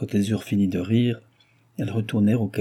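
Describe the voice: The reading aloud is plain, with intonation that stays fairly even.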